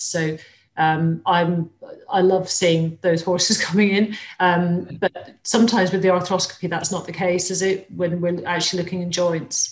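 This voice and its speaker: Somewhat breathy and fairly low in pitch, a woman speaks at a moderate pace. Her intonation stays monotone and flat. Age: 50s. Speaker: equine vet; webinar host. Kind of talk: webinar hosting with Q&A. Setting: live webinar, video call. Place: home room. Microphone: webcam.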